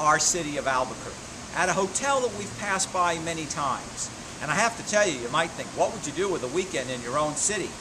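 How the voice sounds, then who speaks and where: A man talks with lively intonation at a fairly quick pace while noticeable background noise plays around him. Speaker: motivational speaker. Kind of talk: casual vlog chat. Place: street. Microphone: phone near.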